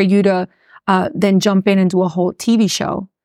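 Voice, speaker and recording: A woman's medium-pitched voice with a Miami accent at a moderate pace, dry and close with no echo, on a very clean recording with a silent background. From Miami, Florida. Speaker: personal injury lawyer and radio host. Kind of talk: casual interview chat about business. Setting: studio.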